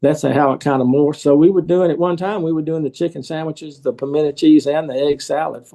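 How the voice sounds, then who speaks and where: Speaking at a fairly quick pace with a Southern US accent, a man has a dark, mellow tone and fairly even intonation. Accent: Southern US (Georgia). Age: 70s. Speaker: restaurant owner. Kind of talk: interview.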